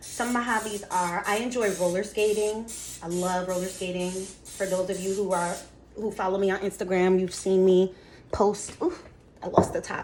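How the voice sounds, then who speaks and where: Against noticeable background noise, a woman speaks at a moderate pace with a medium pitch and monotone, flat intonation. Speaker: lifestyle vlogger. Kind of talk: casual baking vlog and Q&A. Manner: casual, chatty.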